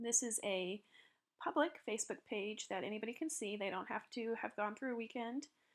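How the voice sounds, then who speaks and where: Ordinary pitch variation marks a woman's fairly high voice in a very clean recording with a silent background. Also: fairly quick pace. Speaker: social media tutorial presenter. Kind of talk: tutorial. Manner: fast.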